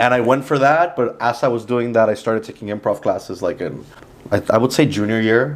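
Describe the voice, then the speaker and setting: With a Spanish accent, a man speaks at a fairly quick pace and medium pitch with ordinary pitch variation, amid noticeable background noise. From Mexico, then Miami from age ten. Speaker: comedian and actor. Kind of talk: casual interview. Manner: casual, many fillers like 'like'.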